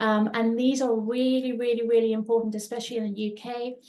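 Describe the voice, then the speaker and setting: In a fairly high, dark and mellow voice, a woman talks at a moderate pace with fairly even intonation. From South Africa, Cape Town. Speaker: trauma-informed coach. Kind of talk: webinar presentation. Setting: live online call. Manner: hesitant, many fillers.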